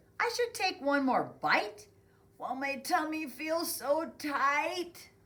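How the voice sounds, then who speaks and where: A put-on character voice, high in pitch and at a fairly slow pace. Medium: read story. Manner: full, sluggish.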